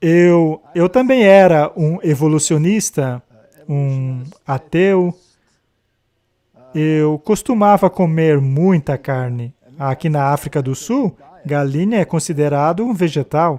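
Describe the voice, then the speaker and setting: At a very slow pace with long, frequent pauses, a man speaks in a fairly high voice with ordinary pitch variation and a dark, mellow tone, recorded dry and close with no echo. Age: 70s. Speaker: retired zoology professor. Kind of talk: casual conversation.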